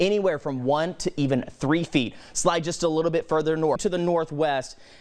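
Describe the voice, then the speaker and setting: Against a quiet background, a man with an American accent speaks in an energetic tone at a fairly high pitch and a moderate pace. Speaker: TV meteorologist. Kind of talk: TV weather forecast delivery. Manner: clear, energetic, broadcast-style.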